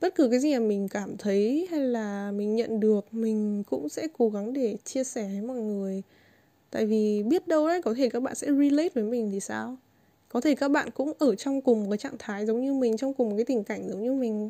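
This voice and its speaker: A woman speaks at a fairly high pitch with ordinary variation, her tone dark and mellow. The recording is very clean, the background silent. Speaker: podcast host and YouTuber. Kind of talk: casual monologue.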